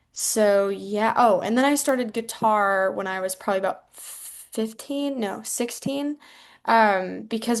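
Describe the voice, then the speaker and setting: A woman with a plain, everyday voice speaks in a medium pitch at a moderate pace, with ordinary pitch variation, over a quiet background. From US Midwest, rural Iowa. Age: 19. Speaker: singer-songwriter. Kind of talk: casual interview.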